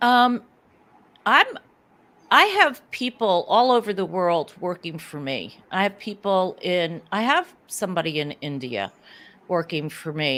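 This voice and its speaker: In a very clean recording with a silent background, a woman of medium pitch speaks at a fairly slow pace with very wide pitch swings. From US Northeast. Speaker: sales business owner. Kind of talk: interview.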